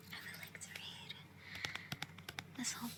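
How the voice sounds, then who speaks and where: Amid noticeable background noise, a speaker whispers. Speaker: ASMR creator. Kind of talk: casual talk to camera. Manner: whispered, soft-spoken.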